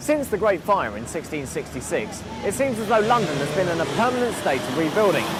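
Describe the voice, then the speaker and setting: With music in the background, a man with a high pitch talks at a fairly quick pace, his pitch swinging very widely and hardly any pauses breaking his speech. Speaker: TV presenter. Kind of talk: documentary piece to camera.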